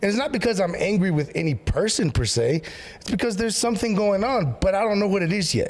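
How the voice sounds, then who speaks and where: Loud and animated, a man with a high voice talks at a very fast pace over noticeable background noise. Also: lively intonation. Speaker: pastor. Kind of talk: casual chat.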